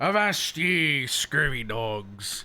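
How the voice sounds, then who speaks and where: The speaker uses a raspy, put-on character voice. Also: man. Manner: playful, theatrical.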